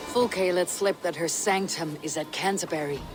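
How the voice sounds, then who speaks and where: Over clear background noise, a man puts on a character voice with a high pitch and speaks at a moderate pace. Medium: video game. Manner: blunt, hard.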